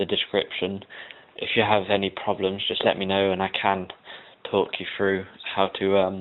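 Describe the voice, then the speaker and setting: A man's fairly low, monotone voice at a moderate pace, broken by long, frequent pauses. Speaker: web design tutor. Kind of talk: tutorial. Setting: at home, recording downstairs. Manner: hesitant, many ums.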